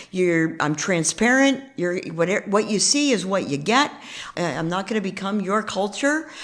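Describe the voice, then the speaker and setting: Speaking fairly slowly with lively intonation, a woman uses a medium pitch in a New York accent. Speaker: real estate investor. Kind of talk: interview.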